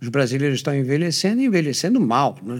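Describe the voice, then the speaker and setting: Very wide pitch swings mark a man's speech in a very clean recording with a silent background. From Brazil, São Paulo. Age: old. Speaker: physician and podcast host. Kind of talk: interview.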